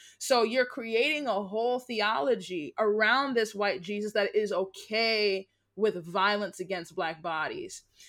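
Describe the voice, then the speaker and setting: Here is a woman with an unremarkable speaking voice, fairly high in pitch, with ordinary pitch variation. She talks at a fairly slow pace with hardly any pauses, on a very clean recording with a silent background. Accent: American. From United States. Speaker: guest speaker on race and religion. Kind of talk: casual interview chat.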